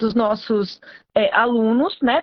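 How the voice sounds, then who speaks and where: A woman with an ordinary speaking voice, fairly high pitch, and a fairly slow pace. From Brazilian countryside. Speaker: veterinarian and postgraduate teacher. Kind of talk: live stream talk, educational. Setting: live stream.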